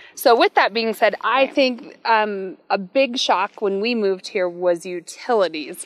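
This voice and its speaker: A woman with an American accent has an unremarkable speaking voice, fairly high in pitch. She speaks at a fairly slow pace with lively intonation and hardly any pauses. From US small town. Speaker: realtor. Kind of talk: casual chat.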